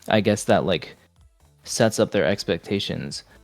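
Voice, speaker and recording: A man speaks in a fairly low voice. His pitch varies in an ordinary way. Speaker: vtuber streamer. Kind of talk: casual chat. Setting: live stream podcast.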